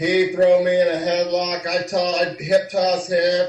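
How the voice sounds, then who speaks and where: A man with an American accent, high-pitched and monotone with flat intonation, at a fairly slow pace amid noticeable background noise. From US Midwest, Kansas City. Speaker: former wrestler. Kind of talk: interview.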